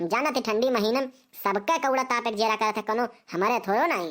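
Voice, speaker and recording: A woman puts on a cartoonish character voice at a fairly high pitch. Her intonation is lively and her pace moderate. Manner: rambling, talkative.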